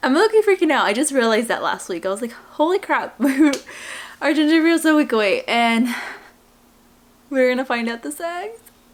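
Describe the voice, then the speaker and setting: Noticeable background noise surrounds a woman who talks at a moderate pace with lively intonation. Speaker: vlogger. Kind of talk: casual vlog monologue. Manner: quiet, not talking loud.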